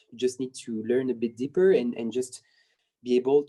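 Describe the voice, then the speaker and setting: This man's voice has a dark, mellow tone at a medium pitch. His pitch varies in an ordinary way. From France/Spain. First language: not English. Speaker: dancer. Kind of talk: interview. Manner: halting, many repetitions and fillers.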